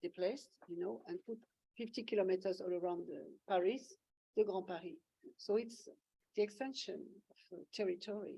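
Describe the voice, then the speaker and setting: A woman with a French accent speaks at a moderate pace in a dark, mellow tone of medium pitch. Her intonation is lively, with big swings in loudness and long, frequent pauses. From France, Auvergne. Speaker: photographer. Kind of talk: Q&A discussion. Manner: halting.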